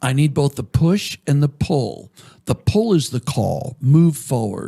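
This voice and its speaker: A man with an American accent speaks at a fairly slow pace in a dark, mellow, somewhat breathy tone with lively intonation. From Maine, US. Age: 70s. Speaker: ministry leader and author. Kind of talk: podcast interview. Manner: halting.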